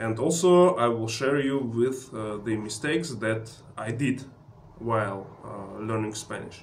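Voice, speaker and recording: A man's medium-pitched voice in a Russian accent, fairly slow, with ordinary pitch variation and audible room echo. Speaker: travel vlogger. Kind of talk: tutorial. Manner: halting with many filler sounds.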